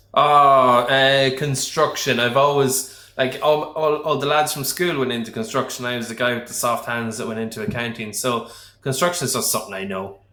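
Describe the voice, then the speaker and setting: A man at a medium pitch with ordinary pitch variation, speaking at a moderate pace with hardly any pauses, with audible room echo and noticeable background noise. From Liverpool, England. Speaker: accountant. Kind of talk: casual chat.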